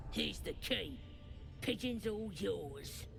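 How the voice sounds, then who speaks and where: Loud background noise accompanies a put-on character voice delivered at a fairly slow pace. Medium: video game. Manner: coarse, slangy.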